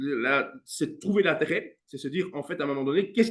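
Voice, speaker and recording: The man's pitch is fairly high, with ordinary pitch variation. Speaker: music teacher and coach. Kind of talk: interview. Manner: fast.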